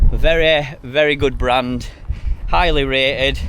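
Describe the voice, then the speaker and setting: A man speaks very slowly in a strong Yorkshire accent. Room echo is audible, along with noticeable background noise. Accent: Yorkshire, strongish. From Yorkshire, Sheffield. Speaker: hiking vlogger. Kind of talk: outdoor vlog, walking and talking. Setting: outdoors on a hike. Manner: casual, rambling.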